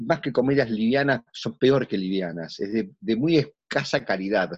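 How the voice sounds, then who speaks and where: Man in a Rioplatense accent with very wide pitch swings over a quiet background. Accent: Argentine Spanish (voseo, rioplatense). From Argentina. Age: 60s. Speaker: theatre actor. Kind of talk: casual interview.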